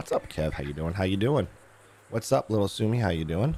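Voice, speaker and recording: In a put-on character voice, a man talks at a fairly quick pace with lively intonation, a fairly low pitch and a raspy edge. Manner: friendly, welcoming chat.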